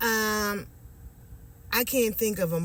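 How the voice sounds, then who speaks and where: Heard with audible room echo, a woman speaks at a medium pitch with ordinary pitch variation. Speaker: video blogger. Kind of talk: casual monologue to camera. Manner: halting, many fillers.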